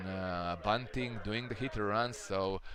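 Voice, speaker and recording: A man speaks with a Croatian accent. His pace is fairly slow. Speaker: baseball commentator. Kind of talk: live commentary. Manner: halting.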